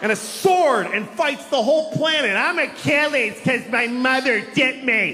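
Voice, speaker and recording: Noticeable background noise sits behind a man with an American accent and an extremely high pitch. His voice is raised and projected, and his loudness stays very even. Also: ordinary pitch variation, moderate pace. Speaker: stand-up comedian. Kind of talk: stand-up comedy routine to a live audience. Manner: casual, conversational, self-deprecating.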